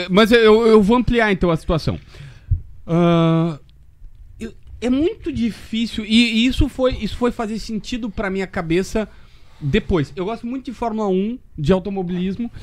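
Speaking at a moderate pace with long, frequent pauses, a man has a high pitch and ordinary pitch variation. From Rio Grande do Sul, Brazil (Osório / Capivari do Sul). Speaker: sports journalist. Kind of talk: casual chat.

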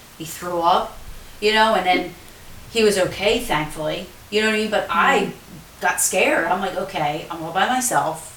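With noticeable background noise, a woman speaks at a moderate pace. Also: medium pitch for a woman, ordinary pitch variation. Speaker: paranormal show co-host. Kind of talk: casual chat, live stream.

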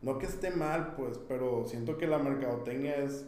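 A man speaks in a fairly high pitch with fairly even intonation. Room echo is audible, and the background noise is noticeable. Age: 30s. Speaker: marketing consultant. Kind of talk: casual interview.

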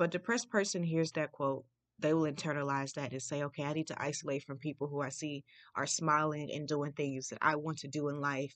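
Over a quiet background, a woman talks with a very deep, low pitch and fairly even intonation. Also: fairly quick pace. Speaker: podcast host. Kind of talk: solo podcast monologue. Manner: halting, stutters at times.

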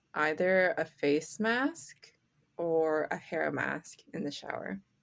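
A woman with a Canadian accent speaks very slowly in a calm tone, her intonation lively. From Canada. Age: 20s. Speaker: podcast co-host and community arts organizer. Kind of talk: casual chat. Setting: remote call across time zones. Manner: calm-sounding.

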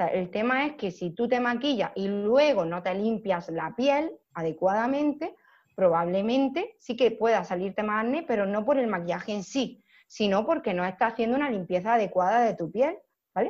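Against a quiet background, a woman with an ordinary speaking voice talks at a moderate pace, fairly high in pitch and with lively intonation. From Almería, Andalusia, Spain. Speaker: makeup artist. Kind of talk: casual interview chat.

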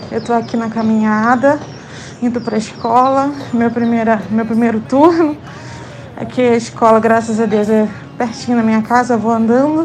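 Audible room echo and noticeable background noise surround a woman speaking at a moderate pace. Her pitch is fairly high, with ordinary variation. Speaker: podcast community member. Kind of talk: casual voice message. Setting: outdoors, walking to school.

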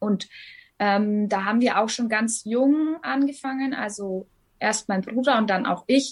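A woman's somewhat breathy voice sits fairly high in pitch, with ordinary pitch variation and a moderate pace. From Upper Franconia, Bavaria (Hof). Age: 30s. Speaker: singer and blogger with lupus. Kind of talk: interview.

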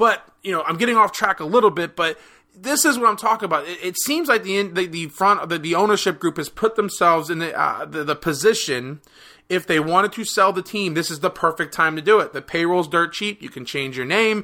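In a very clean recording with a silent background, a man with an American accent talks in a high pitch with a bright, sharp tone. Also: ordinary pitch variation, fairly quick pace. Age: 30s. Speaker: podcast host. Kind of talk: solo sports commentary podcast. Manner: casual, conversational.

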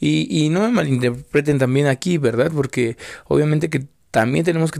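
His words come at a moderate pace. The man's pitch shows ordinary variation. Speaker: podcaster. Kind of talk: casual monologue. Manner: rambling, hesitant with repetitions.

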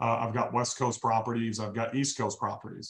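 A man talks with a medium pitch. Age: 40s. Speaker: real estate investor and business coach. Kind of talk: casual interview. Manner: animated.

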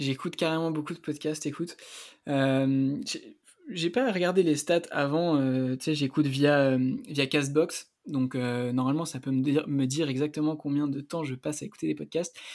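A man talks at a moderate pace with a fairly high pitch and fairly even intonation. It is a plain, everyday voice. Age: 20s. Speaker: student and health-entrepreneurship podcaster. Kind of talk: casual interview.

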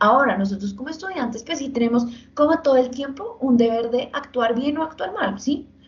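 Noticeable background noise sits behind a woman speaking at a fairly quick pace. Her high-pitched voice has lively intonation. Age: 20s. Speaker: law student. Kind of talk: casual chat.

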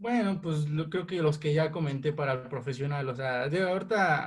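A man speaks at a moderate pace. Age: 20s. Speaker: amateur football referee. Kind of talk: interview. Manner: halting.

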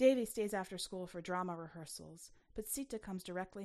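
The voice is an unforced reading voice. Its pitch variation is ordinary.

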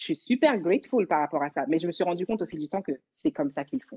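Her delivery is very fast, and the woman's intonation stays lively throughout. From Paris region, France. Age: young. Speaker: dancer. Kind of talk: casual chat.

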